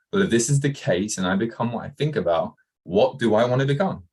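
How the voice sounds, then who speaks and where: A fairly quick-talking man with an English accent. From England, Kent. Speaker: entrepreneur, former soccer coach. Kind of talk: interview.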